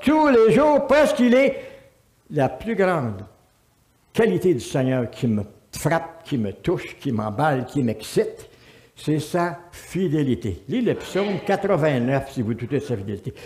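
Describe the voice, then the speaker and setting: Speaking very slowly, a man uses a high pitch with very wide pitch swings. Room echo is audible. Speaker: pastor. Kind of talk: sermon. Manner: animated.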